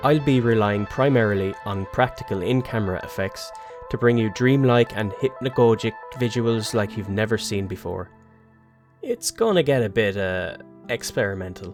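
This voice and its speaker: A speaker with an Irish accent. Music plays in the background. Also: man, medium pitch for a man, ordinary pitch variation, moderate pace. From Ireland. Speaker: cinematographer and video editor. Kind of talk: casual talk to camera, channel trailer. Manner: informal, humorous.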